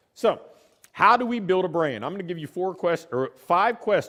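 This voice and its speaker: Intonation is lively, and the pace is moderate. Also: man. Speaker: business coach, former college baseball coach. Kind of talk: conference talk. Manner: conversational, with filler words.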